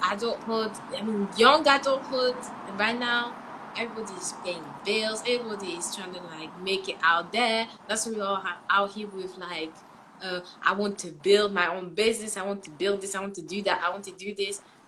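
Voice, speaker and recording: Noticeable background noise sits behind an animated woman at a medium pitch. She speaks at a moderate pace with big swings in loudness. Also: ordinary pitch variation. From France, then England. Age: 20s. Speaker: livestream host. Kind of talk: casual live discussion.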